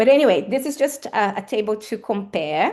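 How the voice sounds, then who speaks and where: Against a quiet background, a woman with a Portuguese accent speaks with lively intonation. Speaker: academic speaker. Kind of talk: lecture. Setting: seminar with audience. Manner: hesitant with fillers.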